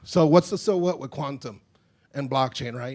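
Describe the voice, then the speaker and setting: A fairly quick delivery, pitch varying in an ordinary way. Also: man. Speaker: conference speaker on defense technology. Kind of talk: conference presentation. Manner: fast.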